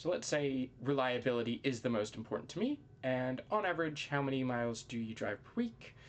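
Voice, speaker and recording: This voice carries an American accent. It moves fairly quickly. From USA. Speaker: university student. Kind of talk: tutorial. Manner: casual, with many fillers.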